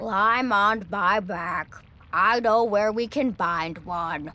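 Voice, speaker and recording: A female-sounding put-on character voice, fairly high in pitch, at a very slow pace. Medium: read story. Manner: grumpy, pompous.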